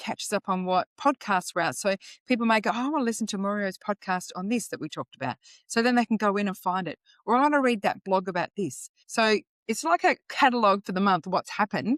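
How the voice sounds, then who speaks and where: A woman with an Australian accent speaks very fast at a medium pitch, with a dry, close sound with no echo, on a very clean recording with a silent background. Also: lively intonation. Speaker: financial educator. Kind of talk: podcast interview.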